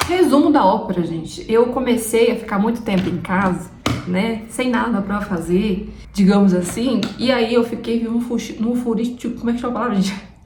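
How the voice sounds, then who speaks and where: A woman with a fairly high voice speaks at a moderate pace with ordinary pitch variation, amid audible room echo and noticeable background noise. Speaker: vlogger. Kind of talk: casual vlog chat. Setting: at home, camera on tripod.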